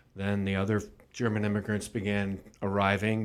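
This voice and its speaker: A plain, everyday voice from a man, fairly low in pitch and fairly slow, on a very clean recording with a silent background. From Washington, Missouri, US Midwest. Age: 60s. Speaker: mayor. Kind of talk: interview. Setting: studio.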